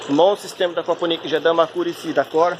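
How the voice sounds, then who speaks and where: Someone speaks with a Brazilian accent in a monotone, flat intonation over noticeable background noise. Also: man. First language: Portuguese (speaking French). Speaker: amateur aquaponics hobbyist. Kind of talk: video tutorial. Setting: outdoors in his backyard. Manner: halting, many filler sounds and repetitions.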